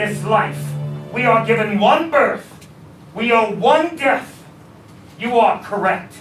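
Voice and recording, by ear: A man's put-on character voice, extremely high in pitch with a fairly bright tone and lively intonation, at a slow pace with audible room echo and faint music in the background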